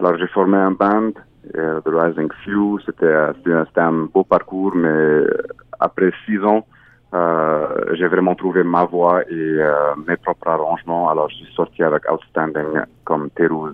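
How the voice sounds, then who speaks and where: Over noticeable background noise, a man with a very deep, low pitch speaks at a very slow pace in a monotone, flat intonation. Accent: Arabic. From Egypt, Cairo. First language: Arabic (speaking French). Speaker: singer-songwriter. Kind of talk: interview. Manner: halting.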